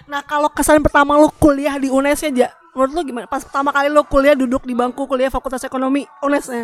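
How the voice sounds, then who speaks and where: A woman's high, monotone, flat voice at a very fast pace with hardly any pauses, in a dry, close sound with no echo, over noticeable background noise. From Greater Jakarta area. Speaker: podcast co-host. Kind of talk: casual chat.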